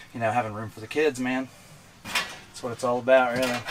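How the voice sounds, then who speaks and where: Fairly even intonation at a fairly quick pace, with music in the background. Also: man. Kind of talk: casual tour explanation. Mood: relaxed, friendly. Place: car.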